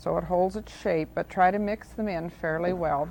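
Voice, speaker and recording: A woman talks at a moderate pace in a plain, everyday voice of medium pitch. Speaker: cooking show host. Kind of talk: TV cooking demonstration. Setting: studio. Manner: friendly, calm, instructional.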